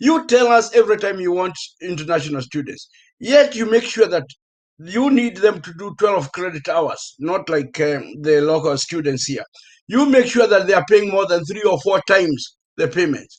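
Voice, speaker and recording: A man with a Kenyan accent speaks in a high voice with very wide pitch swings. His loudness rises and falls sharply. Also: moderate pace. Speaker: professor. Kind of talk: panel discussion.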